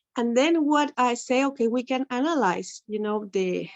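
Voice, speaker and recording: A woman with an Ecuadorian accent speaks at a high pitch with lively intonation. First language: Spanish. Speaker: English teacher, webinar attendee. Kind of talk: Q&A comment in webinar. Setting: video call, camera off.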